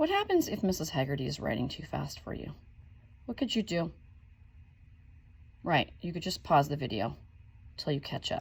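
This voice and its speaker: A woman talks at a moderate pace. Her speech has long, frequent pauses. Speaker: elementary school teacher. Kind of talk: recorded lesson for pupils. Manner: animated.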